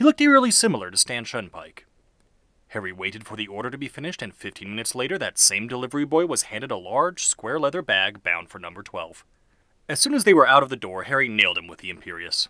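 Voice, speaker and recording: Very fast and full of big swings in loudness and very wide pitch swings, a man speaks at medium pitch with a bright, sharp tone and vocal fry on a very clean recording with a silent background. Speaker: audiobook narrator. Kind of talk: fan fiction audiobook reading.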